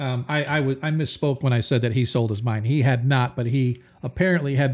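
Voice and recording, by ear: A natural voice carries this reading aloud.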